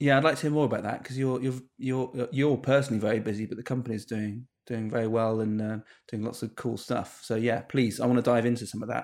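A man talks at a very fast pace with a British accent and fairly even intonation. The recording is very clean, with a silent background. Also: medium pitch for a man. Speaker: podcast host, web business owner. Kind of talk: casual chat.

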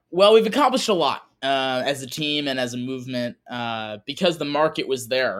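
A man with an American accent speaks at a fairly quick pace in a fairly high voice, his intonation lively, on a very clean recording with a silent background. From Wisconsin. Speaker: conservative environmental organization founder. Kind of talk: interview.

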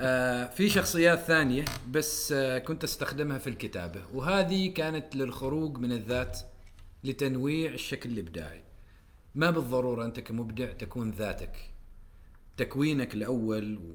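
In an unremarkable speaking voice, a man at a medium pitch talks at a fairly slow pace with lively intonation. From Oman. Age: 30s. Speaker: writer and poet. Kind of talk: casual chat.

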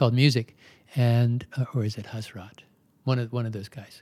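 A man with an American accent talks at a moderate pace and medium pitch, somewhat breathy, in a dark, mellow tone and monotone, flat intonation. The recording is very clean, with a silent background. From Maryland, US. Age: 70s. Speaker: yoga teacher. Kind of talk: interview.

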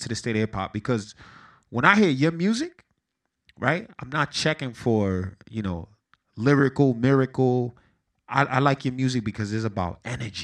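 A man with an American accent speaks at a moderate pace in a medium pitch, his intonation lively against a quiet background. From Paterson, New Jersey (east side). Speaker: podcast host. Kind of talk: casual interview.

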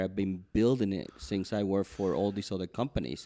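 This voice has a dark, mellow tone and a Spanish accent. The intonation stays fairly even over a quiet background. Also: man. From Cuba. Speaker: baker and entrepreneur. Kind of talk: interview. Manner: halting.

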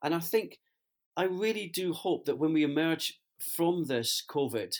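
A man with a Scottish accent at a moderate pace with ordinary pitch variation, on a very clean recording with a silent background. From Scotland. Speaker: business executive, co-host. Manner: hesitant, fillers.

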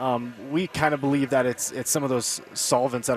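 With music in the background, a man speaks at a moderate pace, his medium pitch showing ordinary variation. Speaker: sunflower oil company rep. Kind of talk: radio interview, casual chat.

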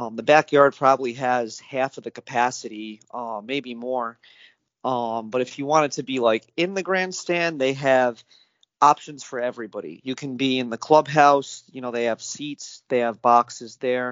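A man with an American accent, medium-pitched, in a normal speaking voice. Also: ordinary pitch variation, moderate pace. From upstate New York, near Saratoga Springs. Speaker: horse racing enthusiast. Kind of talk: interview.

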